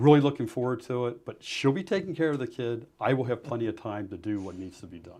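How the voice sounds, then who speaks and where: Very fast with hardly any pauses, a man speaks in a dark, mellow tone at a medium pitch, with lively intonation and big swings in loudness against a quiet background. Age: 60s. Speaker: political candidate. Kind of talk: interview. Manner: passionate.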